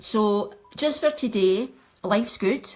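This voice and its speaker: Ordinary pitch variation in a west of Scotland accent. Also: woman. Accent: Scottish (west of Scotland). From Scotland, Ayrshire. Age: 60s. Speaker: makeup artist. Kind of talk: makeup tutorial livestream. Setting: live video stream at home.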